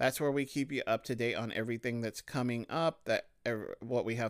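An ordinary speaking voice from a man comes through at a moderate pace with ordinary pitch variation, on a very clean recording with a silent background. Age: 30s. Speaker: podcast host, associate marriage and family therapist. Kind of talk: solo podcast monologue.

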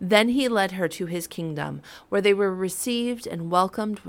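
Here is an unforced reading voice. Its pitch varies in an ordinary way.

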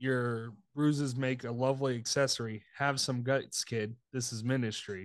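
Against a quiet background, a man with an unremarkable speaking voice talks at medium pitch and a fairly slow pace, his intonation fairly even. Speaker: podcast co-host. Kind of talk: casual chat. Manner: joking, playful.

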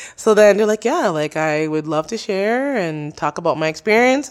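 Speaking at a fairly quick pace, a woman at medium pitch makes very wide pitch swings. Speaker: podcaster. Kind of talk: casual interview chat. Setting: studio.

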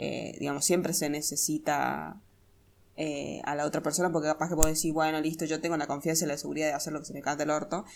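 A woman's very deep, low voice, monotone and flat, with vocal fry, at a very fast pace. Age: 20s. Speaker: podcast co-host. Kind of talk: casual chat.

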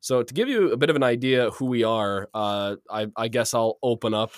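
Here is a man with an ordinary speaking voice, medium in pitch and moderate in pace. The sound is dry and close with no echo, on a very clean recording with a silent background. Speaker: podcast host. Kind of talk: casual chat. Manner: joking, laughs often.

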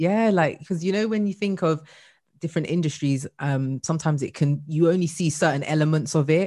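A woman's very deep, low voice with a dark, mellow tone and a British accent, fairly quick with ordinary pitch variation, in a very clean recording with a silent background. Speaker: podcast host and career coach. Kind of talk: casual interview chat.

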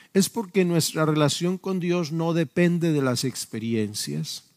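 On a very clean recording with a silent background, a man speaks at a fairly slow pace. His fairly high voice has lively intonation. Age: 50s. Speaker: pastor. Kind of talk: sermon. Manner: halting.

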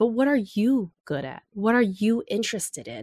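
A woman with a General American accent and an unremarkable speaking voice talks at a moderate pace, fairly high in pitch with lively intonation, in a dry, close sound with no echo against a quiet background. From US, Los Angeles area. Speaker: author and advertising creative. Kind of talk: interview.

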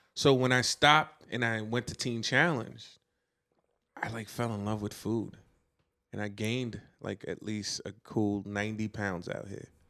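A man with a Brooklyn accent, fairly low in pitch, at a moderate pace with fairly even intonation and long, frequent pauses. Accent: New York (Brooklyn). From Brooklyn, New York (Flatbush). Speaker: guest. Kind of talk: casual chat.

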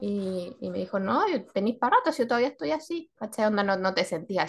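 Against a quiet background, a woman with a Chilean accent talks at a moderate pace with very wide pitch swings. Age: 40s. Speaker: podcast co-host. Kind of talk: casual chat.

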